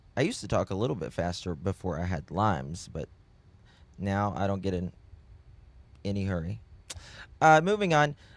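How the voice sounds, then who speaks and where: Long, frequent pauses break up this man's speech in a Southern US accent. His fairly low pitch swings very widely. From US South. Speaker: true crime streamer. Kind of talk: live stream chat with viewers. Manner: slow; halting.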